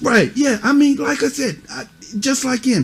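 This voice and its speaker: A man talks at a middling speed, and his pitch moves in a lively way. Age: old. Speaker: youth mentor. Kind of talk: stern lecture to kids. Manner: loud; animated.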